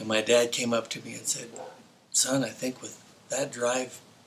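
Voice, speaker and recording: A man with an American accent speaks at a moderate pace and a medium pitch. Noticeable background noise runs beneath him. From New Mexico, US (Las Cruces). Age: 60s. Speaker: former pro motocross racer. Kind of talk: interview storytelling. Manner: hesitant, with fillers.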